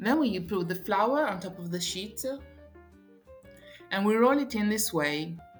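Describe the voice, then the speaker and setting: A woman with medium pitch and lively intonation speaks at a fairly slow pace with long, frequent pauses. Music plays in the background, and there is audible room echo. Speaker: tour guide and cooking presenter. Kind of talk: cooking tutorial.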